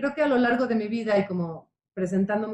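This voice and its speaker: Delivered at a moderate pace, a normal speaking voice moves through ordinary pitch variation. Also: woman. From Mexico, Puebla. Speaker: psychotherapist. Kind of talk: radio interview.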